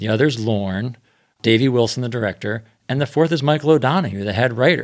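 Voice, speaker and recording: In a very clean recording over a silent background, a man with a medium pitch uses an ordinary speaking voice at a fairly quick pace with ordinary pitch variation. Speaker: podcaster. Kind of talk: casual roundtable discussion.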